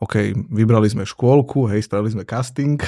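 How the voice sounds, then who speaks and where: A man's dark, mellow tone at medium pitch, with ordinary pitch variation and a moderate pace. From eastern Slovakia, Prešov area. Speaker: entrepreneur and father. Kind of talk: casual chat.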